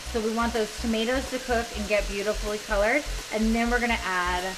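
A woman is speaking. Music can be heard in the background. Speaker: cooking show host. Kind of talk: tutorial. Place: kitchen.

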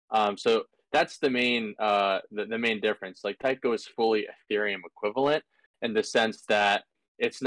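Against a quiet background, a man speaks at a fairly low pitch with fairly even intonation, the sound dry with no echo. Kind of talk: technical explanation in a Q&A call. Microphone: video call.

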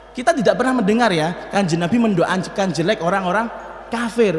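A man with a high pitch talks at a fairly quick pace with lively intonation. There is audible room echo. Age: 40s. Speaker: Islamic preacher and Quran teacher; Islamic preacher, Quran teacher. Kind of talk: sermon. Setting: mosque. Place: church. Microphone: podium.

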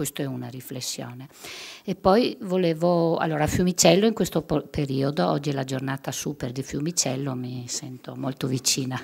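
A woman speaks at a very deep, low pitch. Her pitch varies in an ordinary way. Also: moderate pace. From Friuli, northeastern Italy. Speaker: victim's mother; guest. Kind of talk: testimony. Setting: stage with audience. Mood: emotional, personal concern. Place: hall. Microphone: podium.

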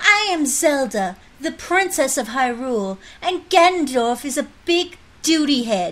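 A female-sounding voice performs a put-on character voice at a high pitch. The pace is moderate.

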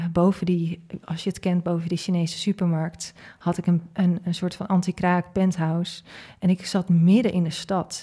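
A woman speaks at a moderate pace, fairly low-pitched and somewhat breathy, with a dark, mellow tone. Her intonation is flat and monotone over a quiet background. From Netherlands, Groningen; Netherlands. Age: 30s. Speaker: leadership coach and entrepreneur; leadership coach. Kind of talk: interview conversation. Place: studio. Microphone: studio mic.

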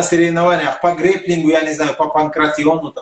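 A man with a high-pitched voice talks amid audible room echo. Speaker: sports channel interviewer. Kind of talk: interview. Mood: friendly, curious. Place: home room. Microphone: video call.

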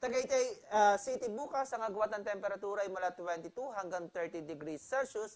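This woman's voice has a medium pitch. She talks at a moderate pace. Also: lively intonation. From Philippines. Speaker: weather forecaster. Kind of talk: televised weather report, Taglish forecast delivery. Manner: steady informational pace with occasional filler hesitations; self-correcting mid-sentence, restarting phrases. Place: studio.

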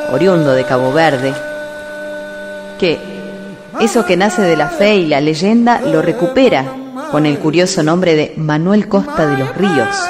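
Over music in the background, a woman with a fairly low pitch speaks at a fairly slow pace with very wide pitch swings. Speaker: radio announcer and journalist. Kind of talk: documentary narration.

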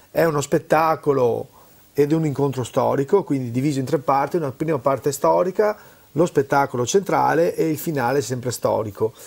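In a normal speaking voice, a man talks at a moderate pace with a fairly high pitch and ordinary pitch variation. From Veneto, Italy. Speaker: cultural event organizer; guest. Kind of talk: interview. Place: studio. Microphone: lapel.

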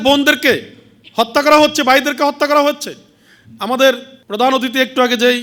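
A man's extremely high-pitched voice, raised and projected, bright and sharp in tone, with ordinary pitch variation. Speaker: religious organization leader giving speech. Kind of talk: speech to a women's conference. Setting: stage with audience.

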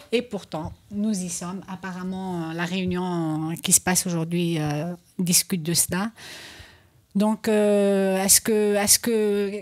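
A woman at a very slow pace with fairly even intonation over a quiet background. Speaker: radio talk show host; radio show host. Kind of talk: political panel discussion. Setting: radio studio, live. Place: studio. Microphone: studio mic.

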